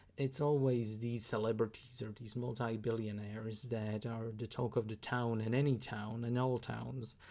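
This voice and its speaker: A man with a Slovak accent speaks in a dark, mellow tone. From Slovakia. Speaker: YouTuber reacting to videos. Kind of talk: reaction commentary. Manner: halting, many fillers.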